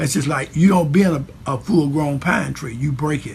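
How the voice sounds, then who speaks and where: The man's voice carries vocal fry. He speaks at a moderate pace with ordinary pitch variation. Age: 60s. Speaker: church leader. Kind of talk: speech. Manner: halting with many fillers.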